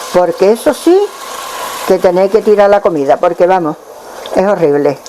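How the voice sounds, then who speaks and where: Over noticeable background noise, a woman talks at a medium pitch, varying it in an ordinary way. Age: 80s+. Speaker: home cook, former restaurant owner. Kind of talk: cooking demonstration.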